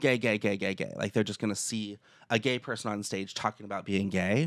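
A fairly low-pitched man talking very fast, in a very clean recording with a silent background. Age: 30s. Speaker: podcast host and comedian. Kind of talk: casual chat, podcast interview.

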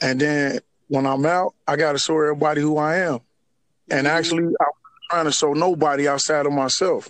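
Here a man with a fairly high pitch keeps his loudness very even. The sound is dry and close, with no echo. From Chicago area, Harvey, Illinois. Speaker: formerly incarcerated man. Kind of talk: interview.

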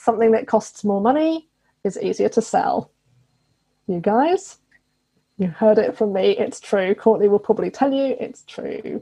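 A woman with a British accent and a fairly high, dark, mellow voice, at a moderate pace with lively intonation and long, frequent pauses. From England. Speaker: business coach. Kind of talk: casual interview chat.

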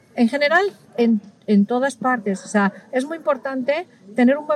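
Over noticeable background noise, a woman speaks at a moderate pace and a high pitch with ordinary pitch variation, the sound dry and close with no echo. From Spain. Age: middle-aged. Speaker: ethnomusicologist and violin teacher. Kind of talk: interview. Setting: recorded at a music festival.

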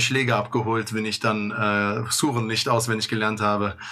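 At a fairly quick pace, the speaker talks in a monotone, flat intonation with noticeable background noise and audible room echo. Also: man. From Germany, Bonn (Bad Godesberg). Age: 30s. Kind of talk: interview.

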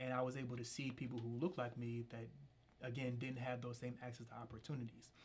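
A man with an American accent talks at a very fast pace and medium pitch. His voice is somewhat breathy and monotone, with flat intonation. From Philadelphia, Pennsylvania. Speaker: political candidate. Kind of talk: interview.

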